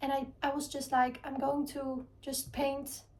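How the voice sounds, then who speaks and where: In a dark, mellow tone, a woman talks with a non-native accent. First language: not English. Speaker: art vlogger. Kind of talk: casual vlog talk. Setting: home art studio. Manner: halting, searching for words; calm.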